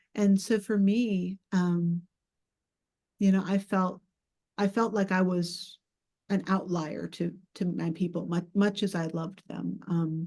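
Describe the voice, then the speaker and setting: A woman with an American accent speaks in a somewhat breathy voice with a dark, mellow tone and monotone, flat intonation. Her pace is very slow, with long, frequent pauses, against a quiet background. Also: medium pitch for a woman. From US South, Georgia. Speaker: poet and writing teacher. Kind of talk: panel discussion. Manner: halting, many fillers.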